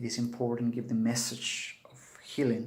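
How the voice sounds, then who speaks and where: A man with a Peruvian accent speaks at a medium pitch with fairly even intonation, and audible echo fills the room. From Peru, Cusco. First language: Spanish. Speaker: Andean shaman. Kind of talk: spiritual video talk to camera.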